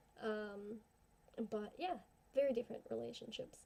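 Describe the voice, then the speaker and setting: A woman mumbles at a fairly slow pace. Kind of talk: casual talk to camera. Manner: mumbly in parts; rambling, informal.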